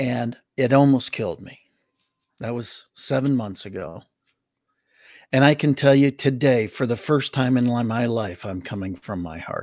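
Speaking in an American accent, a man uses medium pitch, ordinary pitch variation and a moderate pace. His loudness swings widely, in a very clean recording with a silent background. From Wisconsin, US Midwest (Milwaukee). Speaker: motivational speaker. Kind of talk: casual interview chat. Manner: animated.

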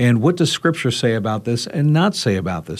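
A man uses a normal speaking voice at a medium pitch and moderate pace. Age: 50s. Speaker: radio talk show host. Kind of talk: roundtable discussion.

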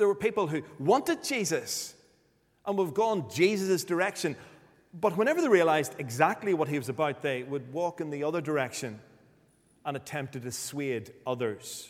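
At a moderate pace, a man with a Northern Irish accent speaks at a fairly high pitch with lively intonation. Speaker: preacher. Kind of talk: sermon.

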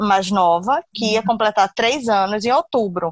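A woman is speaking. Her pace is moderate. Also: dry, close sound with no echo. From Brazil, Recife (Pernambuco). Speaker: confectionery business owner. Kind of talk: interview testimony.

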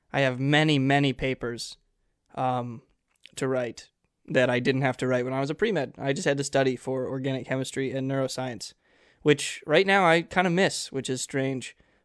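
An unremarkable speaking voice from a man, medium in pitch with ordinary variation, at a moderate pace against a quiet background. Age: young. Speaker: college student podcast co-host. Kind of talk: casual chat.

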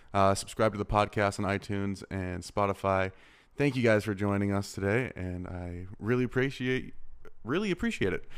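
A man with an American accent and a fairly low pitch speaks at a moderate pace in an unremarkable speaking voice, on a very clean recording with a silent background. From Arizona. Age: 20s. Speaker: podcast host, filmmaker. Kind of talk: casual interview.

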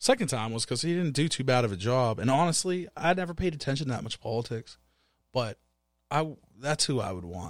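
A man speaks at a very fast clip with very wide swings in pitch. The recording is very clean, with a silent background. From Pittsburgh. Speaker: podcast co-host, music producer. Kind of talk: casual chat.

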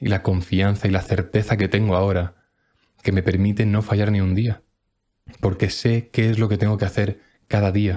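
In a dark, mellow tone, a man speaks at a fairly low pitch with monotone, flat intonation. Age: 20s. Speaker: personal development podcaster. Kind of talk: motivational monologue. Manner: emphatic.

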